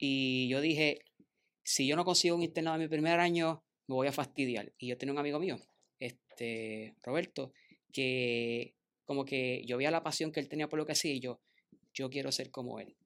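Recorded very cleanly against a silent background, a man with an unremarkable speaking voice talks at a moderate pace in a fairly high pitch with fairly even intonation. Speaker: engineer. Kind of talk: casual chat.

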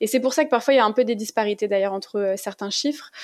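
A woman's fairly high voice, a normal speaking voice. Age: 30s. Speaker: low-GI food content creator. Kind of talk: interview.

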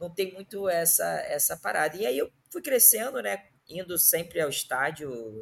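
Music in the background accompanies fairly slow speech. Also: man. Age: 30s. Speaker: football fan guest. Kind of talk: casual chat.

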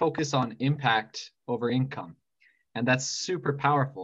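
A man with a fairly high pitch and a somewhat breathy voice speaks at a moderate pace with ordinary pitch variation. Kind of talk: interview host.

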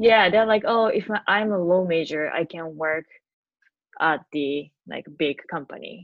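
A woman's voice sits fairly low in pitch. She speaks at a fairly slow pace. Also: ordinary pitch variation, big swings in loudness. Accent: Japanese. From Tokyo, Japan. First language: Japanese. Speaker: podcaster and office worker. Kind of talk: casual interview.

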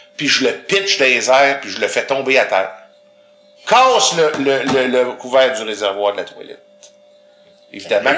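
A man with a Quebec accent speaks with big swings in loudness and long, frequent pauses. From Quebec, grew up in Montreal. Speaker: visually impaired guest. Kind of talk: casual interview.

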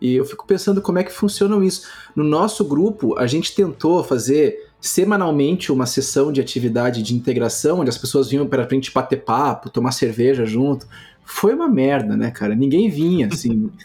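In a Carioca accent, a man talks at a fairly quick pace with lively intonation and a fairly high pitch. His tone is dark and mellow, and somewhat breathy. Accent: carioca (Rio) Portuguese. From Rio de Janeiro, Brazil. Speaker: public health researcher and professor. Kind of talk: casual chat. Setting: video call.

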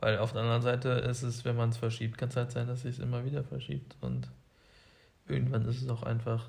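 A somewhat breathy man's voice with fairly even intonation. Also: medium pitch for a man, fairly quick pace. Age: 20s. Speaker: co-host, engineering student. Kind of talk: casual chat.

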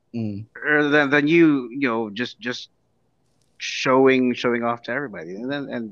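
Against a quiet background, a man talks at a moderate pace in an ordinary speaking voice, medium in pitch with ordinary pitch variation. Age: 30s. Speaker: podcast guest. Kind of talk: casual chat.

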